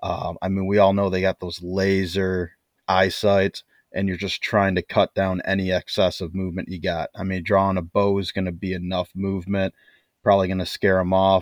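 A man with a Midwestern US accent and a very deep, low pitch, monotone and flat at a moderate pace, in a dry, close sound with no echo and a quiet background. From US Midwest. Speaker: bowhunter. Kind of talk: casual chat.

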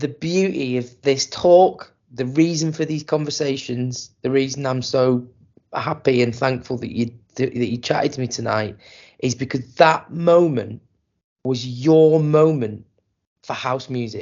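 A man with an unremarkable speaking voice talks at a fairly slow pace. His pitch is medium, with ordinary pitch variation. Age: 40s. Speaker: podcast host and DJ. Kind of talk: casual chat. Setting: online call.

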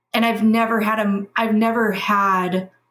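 A woman's fairly high, somewhat breathy voice. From Kentucky, Louisville. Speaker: toy industry account manager. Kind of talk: casual chat.

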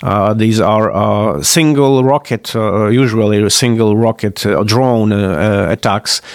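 A man with a Polish accent speaks very slowly in a fairly low voice with ordinary pitch variation. His loudness stays very even. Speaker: political analyst. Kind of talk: interview. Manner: halting, many fillers.

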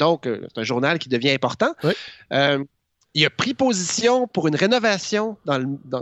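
A man speaks at a moderate pace in a fairly high pitch. His pitch swings very widely. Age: 40s. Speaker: columnist. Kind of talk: radio-style chronicle.

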